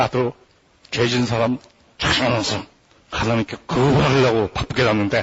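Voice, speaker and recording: A husky, raspy, put-on character voice moves along at a moderate pace. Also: man. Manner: defensive, arguing his case.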